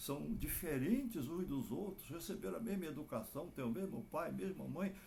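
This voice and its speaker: The speech comes at a fairly slow pace with vocal fry and very wide pitch swings, in audible room echo. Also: man. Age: 80s+. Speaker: clinical psychologist. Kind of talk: advice talk to families.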